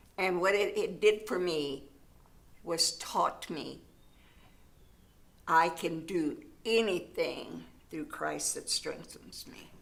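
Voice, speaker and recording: A woman at a very slow pace, with long, frequent pauses, big swings in loudness, and audible room echo. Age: 80s+. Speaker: church ministry volunteer, widow. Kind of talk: interview.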